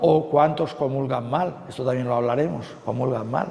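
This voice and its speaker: A man's fairly high voice at a fairly slow pace, fairly even in intonation, with audible room echo and noticeable background noise. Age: 60s. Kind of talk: retreat talk. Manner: conversational with frequent fillers.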